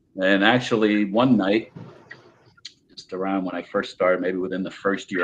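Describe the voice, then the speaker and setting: A man speaks with a very deep, low pitch and a New Jersey accent. His pace is moderate. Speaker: paranormal investigator. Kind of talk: casual chat. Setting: podcast.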